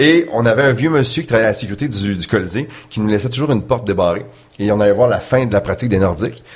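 A man's somewhat breathy, medium-pitched voice at a very fast pace, with ordinary pitch variation. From Quebec City, Quebec. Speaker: sports broadcaster. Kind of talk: casual interview.

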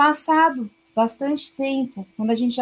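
At a moderate pace, somewhat breathy speech comes with ordinary pitch variation. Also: woman. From Brazil. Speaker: missionary. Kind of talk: interview.

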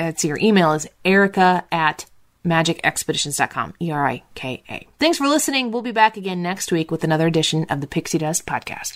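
A woman with an ordinary speaking voice talks at fairly low pitch and a fairly quick pace, with lively intonation. She leaves hardly any pauses, and the recording is very clean with a silent background. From US Midwest. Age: 30s. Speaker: radio talk show host and podcast host. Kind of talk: casual chat.

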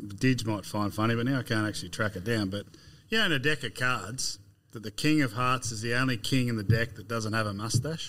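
A man with an Australian accent, bright and sharp in tone, at a fairly quick pace with ordinary pitch variation. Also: medium pitch for a man. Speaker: agronomist. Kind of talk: casual chat.

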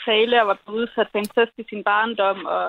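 The speaker is a woman. Her voice is pitched fairly high. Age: 20s. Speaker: caller. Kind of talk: casual chat on call-in radio. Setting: phone call.

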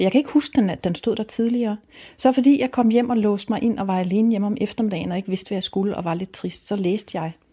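A woman talks at a very fast pace with a dark, mellow tone, a medium pitch and a somewhat breathy sound. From Denmark, Rødby on Lolland. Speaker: novelist. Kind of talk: interview about books and reading. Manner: halting, with frequent fillers and restarts.

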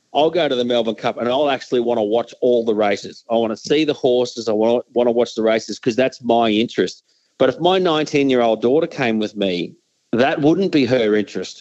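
Speaking at a fairly quick pace, a man with an Australian accent uses a medium pitch and ordinary pitch variation. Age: 50s. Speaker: sports commentator. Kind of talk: interview.

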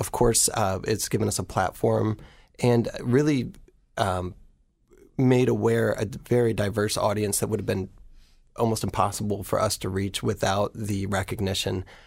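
A man with an American accent speaks at a moderate pace with a fairly low pitch, vocal fry and ordinary pitch variation on a very clean recording with a silent background. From rural Ohio. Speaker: nonprofit executive director. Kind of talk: radio interview.

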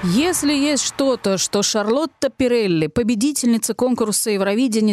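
With lively intonation and a moderate pace, a woman speaks in a normal speaking voice, the sound dry and close with no echo. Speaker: radio host. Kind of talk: scripted radio magazine presentation.

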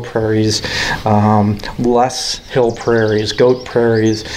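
Speaking with an American accent, a man talks over noticeable noise in the background. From Chicago area, Illinois. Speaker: park district naturalist and educator. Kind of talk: interview. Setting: outdoors at a nature facility. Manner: halting, repetitive.

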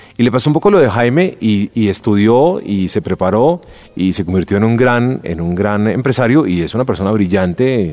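With a fairly low pitch and lively intonation, a man talks with hardly any pauses. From Colombia. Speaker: podcast host, former news presenter. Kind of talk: interview. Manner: hesitant, many fillers and repetitions.

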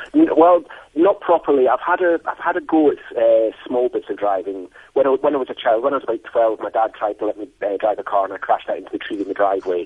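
A man talks with a Scottish accent. His pace is very fast. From Scotland. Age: 50s. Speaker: blind adventure athlete. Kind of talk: interview.

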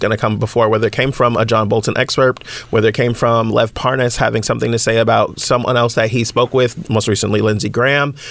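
A man at medium pitch, talking at a fairly quick pace over noticeable background noise. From San Francisco Bay Area. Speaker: political show host and commentator. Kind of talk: political commentary; casual chat.

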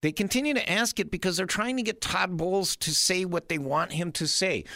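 In a very clean recording with a silent background, a man talks in a high, bright, sharp voice, raised and projected, with ordinary pitch variation. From Wisconsin, small town. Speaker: radio talk show host. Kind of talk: talk radio monologue.

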